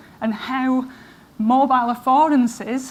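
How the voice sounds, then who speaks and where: Noticeable background noise and audible room echo surround a woman speaking in a high, monotone voice with flat intonation. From northern England, Manchester area. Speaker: professor. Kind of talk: conference talk. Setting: stage with audience.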